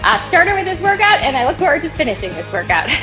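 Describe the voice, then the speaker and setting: Clear background music behind a woman talking. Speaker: fitness trainer. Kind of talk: promo intro and workout instruction.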